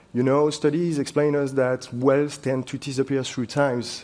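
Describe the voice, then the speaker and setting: A man with a French accent at a fairly quick pace. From France. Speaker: wealth manager. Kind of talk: panel discussion. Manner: halting.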